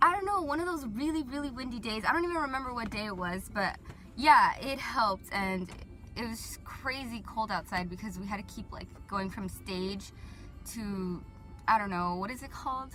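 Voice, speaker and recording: A woman with a Southern California accent speaks at a moderate pace and a fairly high pitch, her intonation lively. Her loudness swings widely, with music playing in the background. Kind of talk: casual talk to camera. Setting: car interior. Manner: rambling, casual, filler-heavy.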